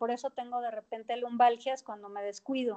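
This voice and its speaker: Her pitch high and her intonation fairly even, a woman talks at a moderate pace. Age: 50s. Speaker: fitness trainer and nutrition coach. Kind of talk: interview.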